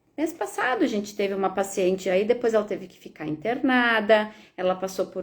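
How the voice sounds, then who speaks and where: A woman's normal speaking voice at a fairly high pitch and moderate pace, in a very clean recording against a silent background. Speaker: veterinarian. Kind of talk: live stream Q&A.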